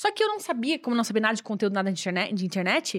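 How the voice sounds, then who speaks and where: A woman's fairly high voice with lively intonation at a very fast pace, on a very clean recording with a silent background. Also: dry, close sound with no echo. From Brazil, Santa Catarina (Joinville). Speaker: online English course creator. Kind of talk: casual chat.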